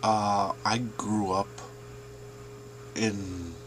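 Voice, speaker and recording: Over noticeable background noise, a man speaks with a Canadian accent. His pitch is fairly low and his intonation monotone and flat. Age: 40s. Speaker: student. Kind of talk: class presentation.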